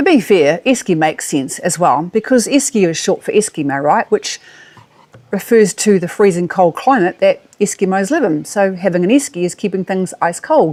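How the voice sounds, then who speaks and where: Speaking in a New Zealand accent at a moderate pace, a woman uses a medium pitch and lively intonation. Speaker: travel vlogger. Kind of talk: casual monologue to camera.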